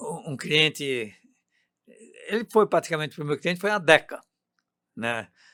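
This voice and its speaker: Speaking at a moderate pace with long, frequent pauses, a man uses a high pitch, lively intonation and a bright, sharp tone, all in a dry, close sound with no echo. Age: 80s+. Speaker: software company founder. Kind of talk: interview.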